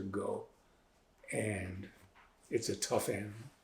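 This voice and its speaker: At a fairly slow pace, a man speaks in a somewhat breathy voice of medium pitch. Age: 70s. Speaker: author and physician. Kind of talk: interview. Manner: halting.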